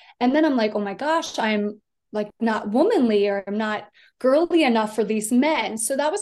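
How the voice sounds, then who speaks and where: A woman's ordinary speaking voice with an American accent, fairly high in pitch, with ordinary pitch variation at a moderate pace. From US East Coast, Delaware small town. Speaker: podcast guest sharing personal health story. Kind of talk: personal testimony in casual interview.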